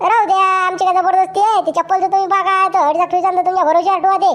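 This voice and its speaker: A woman uses a cartoonish character voice, squeaky and extremely high in pitch. She speaks very fast, monotone and flat, at very even loudness. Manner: coaxing, evasive about price.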